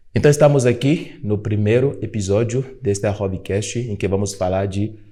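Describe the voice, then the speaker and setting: A man with a Beninese accent speaks at a moderate pace, his fairly low voice carrying a dark, mellow tone and ordinary pitch variation. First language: Fongbe (speaking Portuguese). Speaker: podcast host and African culture educator. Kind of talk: podcast conversation.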